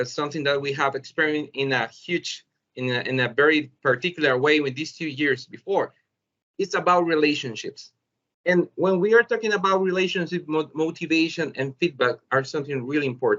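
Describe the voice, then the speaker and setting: In a Spanish accent, a man speaks with ordinary pitch variation. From El Salvador. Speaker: teacher. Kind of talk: webinar presentation. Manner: halting.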